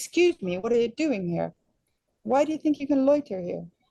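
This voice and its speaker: A woman puts on a shrill, high-pitched character voice with very wide pitch swings, talking at a fairly quick pace. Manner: accusatory, confronting.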